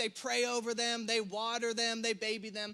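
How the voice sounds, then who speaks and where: Raised and projected, this man's voice is extremely high in pitch, with a bright, sharp, animated tone, a Southern US accent and a fairly quick pace. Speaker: pastor. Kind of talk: sermon. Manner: fast.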